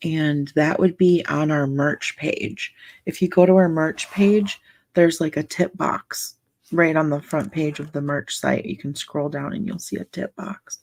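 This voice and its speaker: Soft-spoken and with a very deep, low pitch, a woman talks at a fairly slow pace. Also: ordinary pitch variation, very clean recording, silent background. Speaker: livestream coloring ASMR host. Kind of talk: casual livestream chat.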